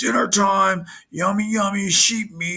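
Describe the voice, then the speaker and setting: In a put-on character voice, a man bellows. His pitch sits high. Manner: bellowing.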